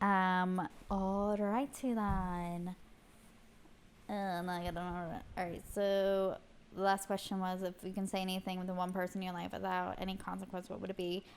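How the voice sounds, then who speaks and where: Monotone, flat intonation at a moderate pace. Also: woman. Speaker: podcast co-host. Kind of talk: casual chat.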